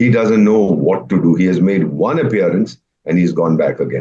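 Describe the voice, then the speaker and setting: Speaking at a moderate pace, a man with a very deep, low pitch, vocal fry and a dark, mellow tone uses lively intonation. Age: 70s. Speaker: retired diplomat. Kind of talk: panel discussion. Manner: animated.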